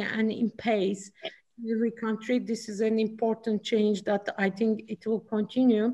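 A woman with a Turkish accent speaks at a moderate pace, fairly high in pitch. Her voice is somewhat breathy and her intonation is monotone and flat. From Turkey. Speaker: chief risk officer. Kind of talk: panel discussion.

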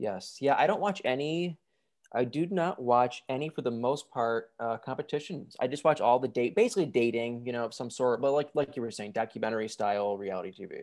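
Over a very clean recording with a silent background, a man with an American accent talks fairly quickly at a medium pitch, his intonation lively. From Michigan. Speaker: reality TV reviewer on YouTube. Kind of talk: casual interview chat.

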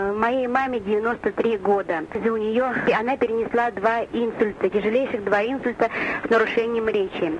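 Noticeable background noise runs under the audio. A woman speaks with fairly even intonation. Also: fairly high pitch for a woman, moderate pace, very even loudness. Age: 50s. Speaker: nurse and caller. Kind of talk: recorded answering machine message.

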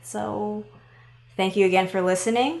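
A woman with an American accent, a normal speaking voice, medium pitch and a fairly slow pace. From Seattle, Washington. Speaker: travel podcast co-host, video producer. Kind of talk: casual chat.

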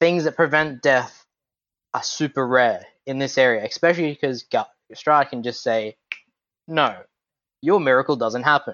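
The speaker has an Australian accent. Long pauses come often. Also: man, fairly high pitch for a man, ordinary pitch variation, moderate pace. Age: 20s. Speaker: tabletop gamer. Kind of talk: casual chat.

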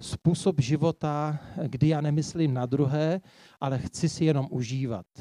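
A man's fairly high voice with a dark, mellow tone and ordinary pitch variation, dry and close with no echo. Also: quiet background. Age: 50s. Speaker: preacher. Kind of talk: sermon.

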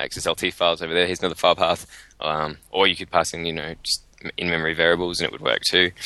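A man with an Australian accent speaks very fast in a very deep, low voice with a bright, sharp tone. His intonation stays flat and monotone. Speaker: software developer podcast co-host. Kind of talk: casual chat.

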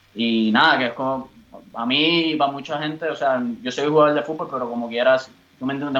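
In a plain, everyday voice, a man talks at a fairly quick pace with fairly even intonation and medium pitch. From Puerto Rico. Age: 30s. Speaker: footballer. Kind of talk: interview.

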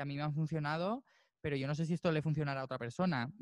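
A man with a fairly high pitch speaks in fairly even intonation, the sound dry and close with no echo. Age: 20s. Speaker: musician and percussionist. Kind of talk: interview.

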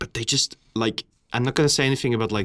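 A man with a non-native accent speaks at a very fast pace. His intonation is fairly even, and the recording is very clean with a silent background. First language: not English. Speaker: podcast co-host. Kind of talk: casual chat.

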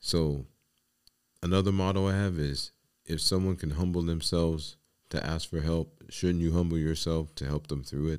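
A man's very deep, low voice in a New York accent with fairly even intonation. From New York City, the Bronx. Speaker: podcast host and life coach. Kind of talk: solo podcast monologue.

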